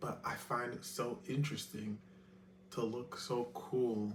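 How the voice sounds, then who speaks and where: Audible room echo carries a man's fairly low voice. He talks at a very slow pace with lively intonation. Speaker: vlogger. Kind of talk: casual vlog monologue. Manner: proper; halting, many fillers.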